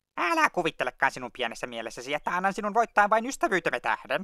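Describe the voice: A man speaks in a cartoonish character voice, pitched high. His pitch swings very widely.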